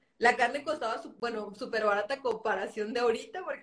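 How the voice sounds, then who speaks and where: Against music in the background, a woman talks at a fairly quick pace with a fairly high pitch. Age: 20s. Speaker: podcast host. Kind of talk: casual interview chat.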